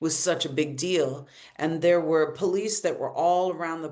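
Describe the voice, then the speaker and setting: Audible room echo surrounds a woman's very deep, low voice, which has a dark, mellow tone, fairly even intonation and a moderate pace. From US South (Arkansas), born in Brazil. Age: 50s. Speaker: queer elder artist and musician. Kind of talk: panel discussion. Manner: halting, many repetitions and fillers.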